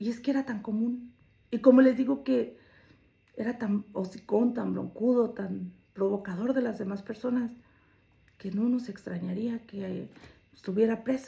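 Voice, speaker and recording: Somewhat breathy and dark, mellow in tone, a woman's fairly high voice moves at a fairly slow pace with fairly even intonation and long, frequent pauses. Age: 60s. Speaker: storyteller sharing own life. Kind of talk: personal testimony.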